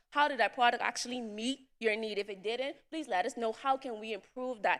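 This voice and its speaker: A woman talks at a very fast pace. Her pitch is fairly high and varies in an ordinary way. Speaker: entrepreneur, summit attendee. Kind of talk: presentation to audience.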